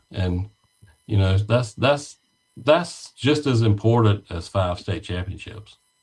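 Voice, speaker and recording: Very slowly, a man with a fairly low pitch speaks in a somewhat breathy voice with lively intonation. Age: 60s. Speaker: former high school softball coach. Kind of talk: casual interview chat.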